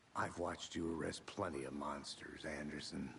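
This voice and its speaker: Putting on a character voice, a man sounds raspy at a very deep, low pitch, keeping fairly even intonation and a moderate pace over clear background noise. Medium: video game. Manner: measured, dry.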